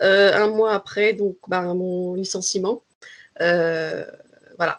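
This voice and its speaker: Delivered very slowly, the speech stays in a monotone, flat intonation. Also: woman, medium pitch for a woman. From Paris region, France. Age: 20s. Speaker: language trainer. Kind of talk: interview. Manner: hesitant, many fillers.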